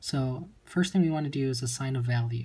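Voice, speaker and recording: In a very clean recording with a silent background, a man with a medium pitch and a dark, mellow, somewhat breathy tone speaks at a moderate pace with ordinary pitch variation. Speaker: chemistry tutor. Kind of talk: tutorial.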